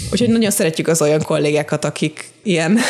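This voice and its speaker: Pitch rises and falls in an ordinary way. It is a normal speaking voice. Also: woman. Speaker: subtitle translator. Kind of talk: casual interview.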